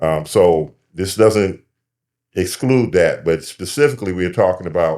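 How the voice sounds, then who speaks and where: A man with an American accent, a very deep, low pitch and a moderate pace. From Michigan, US. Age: 70s. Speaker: community activist. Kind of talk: panel discussion.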